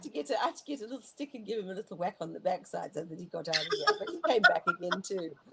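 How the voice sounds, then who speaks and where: A woman at medium pitch talks at a very fast pace with hardly any pauses. Her voice shows very wide pitch swings and big swings in loudness over noticeable background noise. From South Africa. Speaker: bush pilot and guide. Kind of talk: interview answer.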